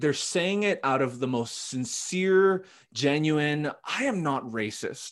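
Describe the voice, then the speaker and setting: Speaking very slowly, a man with a Western Canadian accent uses lively intonation. His pitch is fairly high. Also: quiet background. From Canada, Vancouver. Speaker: pastor. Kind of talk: casual chat.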